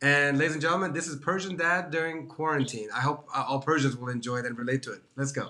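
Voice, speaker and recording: A fairly high-pitched man races along at a very fast pace with hardly any pauses and ordinary pitch variation, over noticeable background noise. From Washington DC area. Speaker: online show host. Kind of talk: casual interview chat. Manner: enthusiastic.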